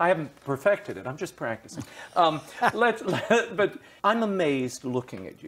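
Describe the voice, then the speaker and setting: A man with vocal fry speaks at a moderate pace. His pitch swings very widely. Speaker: interviewer. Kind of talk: interview question. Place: home room.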